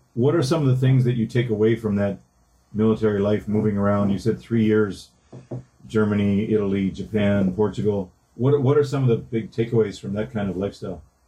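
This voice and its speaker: A somewhat breathy man with a Canadian accent, dark and mellow in tone, with ordinary pitch variation. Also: fairly low pitch for a man. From northern Ontario, Canada. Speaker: podcast co-host. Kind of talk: casual chat.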